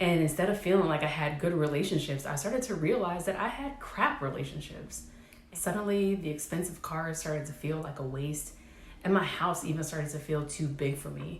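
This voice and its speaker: A woman speaks at a moderate pace with a very deep, low pitch and ordinary pitch variation. The recording carries audible room echo and noticeable background noise. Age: 30s. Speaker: vlogger, military veteran. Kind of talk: personal vlog monologue.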